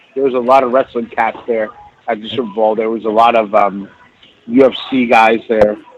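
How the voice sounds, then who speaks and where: Against noticeable background noise, a man with a medium pitch speaks at a moderate pace in a monotone, flat intonation. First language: Spanish. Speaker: chef. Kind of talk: casual chat.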